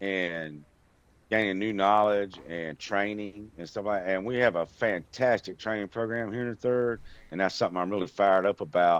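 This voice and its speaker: A man's fairly low voice at a moderate pace, with ordinary pitch variation and a quiet background. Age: 60s. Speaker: online gamer. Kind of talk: interview answers. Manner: hesitant fillers.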